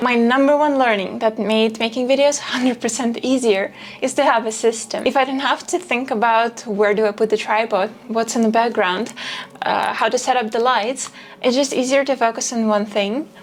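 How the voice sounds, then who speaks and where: Quiet and at very even loudness, a woman speaks at a moderate pace with a fairly high pitch and fairly even intonation over noticeable background noise. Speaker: video creator. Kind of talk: talking-head vlog.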